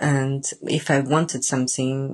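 A woman with a very deep, low pitch speaks at a fairly slow pace. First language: Japanese and Italian.

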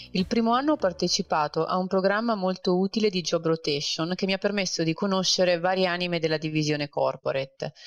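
A woman talks at a very fast pace with hardly any pauses, medium pitch, ordinary pitch variation and very even loudness, in a dry, close sound with no echo. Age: 30s. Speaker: corporate banker. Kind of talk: interview.

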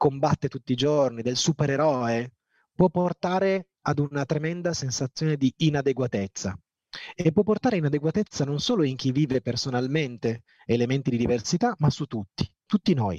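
Lively intonation marks a man's fairly high, normal speaking voice. He talks at a moderate pace in a dry, close sound with no echo. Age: 40s. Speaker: entrepreneur and motivational speaker, amputee former basketball player. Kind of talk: motivational talk.

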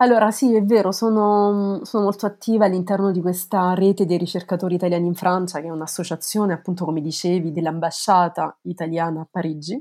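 The speech races along at a very fast clip with hardly a break, recorded very cleanly against total silence. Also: woman, medium pitch for a woman. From Italy, Lazio (province of Frosinone, near Cassino). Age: 30s. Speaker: legal historian, researcher. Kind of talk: interview. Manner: halting, with many repetitions.

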